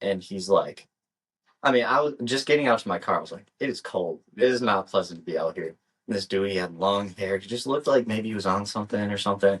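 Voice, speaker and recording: Very fast speech from a man, fairly low in pitch, with ordinary pitch variation. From US Midwest. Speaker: podcast co-host. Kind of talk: casual chat.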